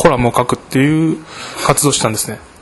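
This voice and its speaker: Pitched fairly high with ordinary variation, a man's voice comes through noticeable background noise. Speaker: architecture student. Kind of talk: interview.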